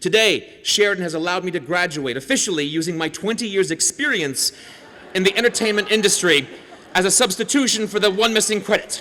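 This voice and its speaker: A man speaks very fast in a raised, projected voice that is high for a man, with lively intonation over noticeable background noise. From Canada. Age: 40s. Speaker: comedian and TV host. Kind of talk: convocation speech with stand-up humor. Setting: stage with audience. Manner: animated.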